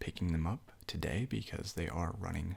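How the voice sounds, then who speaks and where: Soft-spoken and relaxed, a man talks at a moderate pace in a very deep, low voice with a dark, mellow tone and vocal fry. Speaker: game shop clerk (role-play). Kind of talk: ASMR role-play, unscripted casual talk to customer. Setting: studio, Blue Yeti microphone. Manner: soft-spoken, relaxed.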